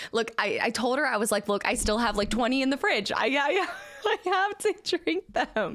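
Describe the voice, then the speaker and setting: There's a woman talking in an animated tone. The recording is very clean, and the background is silent. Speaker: video game streamer. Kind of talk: live stream chat with viewers. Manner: fast.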